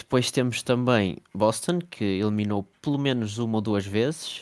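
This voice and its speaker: On a very clean recording with a silent background, a man speaks at a fairly low pitch. He has an unremarkable speaking voice, with ordinary pitch variation. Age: 20s. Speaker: NBA fan page creator. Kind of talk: casual chat.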